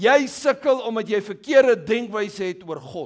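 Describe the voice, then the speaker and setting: Against a quiet background, a man speaks with a high pitch. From South Africa. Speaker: pastor. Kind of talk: sermon. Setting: church. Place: church. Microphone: headset.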